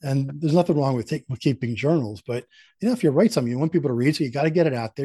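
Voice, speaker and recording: Speaking very fast with lively intonation, a man with an American accent has a fairly high pitch and a dark, mellow, somewhat breathy tone, recorded with a dry, close sound, no echo and a quiet background. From Philadelphia. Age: 60s. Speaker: sales institute founder and author. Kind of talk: podcast interview.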